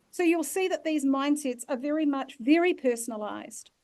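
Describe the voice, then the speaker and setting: A woman with a New Zealand accent at a moderate pace. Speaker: leadership facilitator. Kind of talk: online masterclass workshop.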